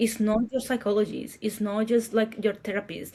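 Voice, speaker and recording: A woman with a Paraguayan accent speaks at a moderate pace in a fairly high, somewhat breathy voice. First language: Spanish. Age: 40s. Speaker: marketer and entrepreneur. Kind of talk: interview conversation.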